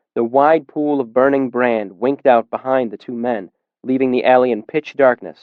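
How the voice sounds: The reading voice is natural, with fairly even intonation. Nothing much stirs in the quiet background.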